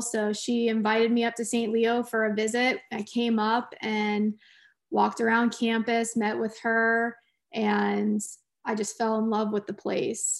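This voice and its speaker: In a very clean recording with a silent background, a woman talks at a moderate pace in a fairly high voice with monotone, flat intonation. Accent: American. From Florida (Clearwater). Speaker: college softball coach. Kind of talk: interview.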